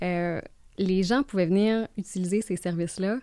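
A woman speaks with a slight Gaspésie accent in a dark, mellow tone. Her pitch varies in an ordinary way, and the sound is dry with no echo. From Gaspésie, Quebec (Bonaventure); Quebec. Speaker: mortgage broker; guest. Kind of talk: casual interview. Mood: relaxed, friendly. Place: studio. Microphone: studio mic.

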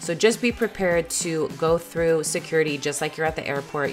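Over music in the background, a woman with a very deep, low pitch talks at a fairly quick pace in an upbeat, excited tone. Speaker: family lifestyle vlogger. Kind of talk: voice-over tips video.

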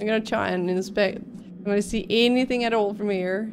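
A woman at a moderate pace, monotone and flat in intonation, over light background noise. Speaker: game streamer. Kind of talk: casual gameplay commentary. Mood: relaxed, mildly amused. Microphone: studio mic.

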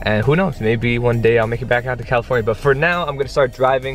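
With faint music in the background, a man talks in a fairly even intonation, and the sound is dry with no echo. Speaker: vlogger. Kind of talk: casual vlog chat. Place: car. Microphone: phone near.

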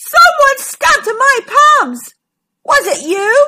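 In a put-on character voice, a woman speaks slowly at an extremely high pitch, with a bright, sharp tone and big pitch swings.

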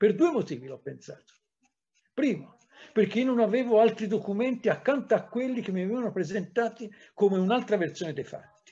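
A man's high-pitched voice with a dark, mellow tone, lively intonation, big swings in loudness, a fairly quick pace and long, frequent pauses. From Tuscany, Livorno; Tuscany. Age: 60s. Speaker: historian; historian lecturer. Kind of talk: lecture. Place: home room. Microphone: webcam.

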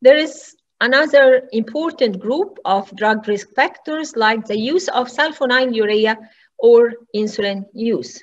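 A woman with a high pitch. She talks at a fairly slow pace. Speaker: medical lecturer. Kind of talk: lecture. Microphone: webcam.

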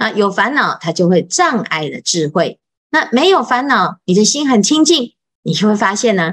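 At a moderate pace, a woman with a fairly high pitch speaks with very wide pitch swings against a quiet background. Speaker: Buddhist monastic teacher. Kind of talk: Buddhist scripture lecture. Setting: online live session. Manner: many filler particles. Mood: calm, patient teaching. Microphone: video call.

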